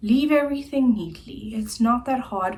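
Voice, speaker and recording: A fairly high-pitched woman's voice at a very slow pace, with audible room echo. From South Africa, Centurion, Gauteng. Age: 20s. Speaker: YouTuber. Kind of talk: casual vlog chat.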